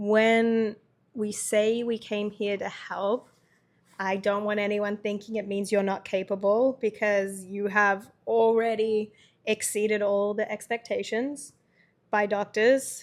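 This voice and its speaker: In a very clean recording with a silent background, a woman talks at a very slow pace with monotone, flat intonation. Her pitch is fairly high, with a slight Australian accent. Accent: Australian, subtle. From Australia, Melbourne. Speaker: podcast co-host, caregiver. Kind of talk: casual chat.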